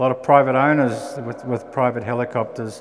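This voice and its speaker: A man with a New Zealand accent at a moderate pace, fairly even intonation, and noticeable background noise. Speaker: aircraft engine manufacturer representative. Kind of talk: technical presentation. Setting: venue with live audience. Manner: hesitant fillers.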